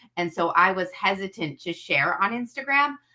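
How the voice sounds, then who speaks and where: A woman speaks with a strong Chicago accent. Her intonation is lively. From US Midwest, Chicago area. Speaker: social media creator. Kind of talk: casual interview chat.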